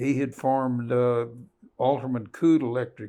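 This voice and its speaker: With monotone, flat intonation, a man speaks at a medium pitch and a fairly slow pace. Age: 90s. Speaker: retired company heir. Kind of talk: interview. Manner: halting.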